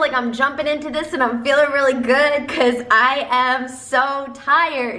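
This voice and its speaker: A raised, projected voice comes at a fairly slow pace, with audible room echo around it. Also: woman. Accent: American. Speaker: self-help video creator. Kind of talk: motivational talk to camera. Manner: stumbling over words.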